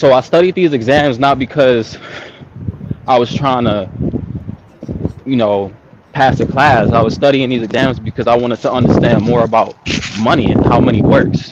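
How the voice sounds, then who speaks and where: Against noticeable background noise, a man talks at a moderate pace in a medium pitch, with ordinary pitch variation, very even loudness, and long, frequent pauses. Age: young. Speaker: caller on a livestream. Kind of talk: casual chat.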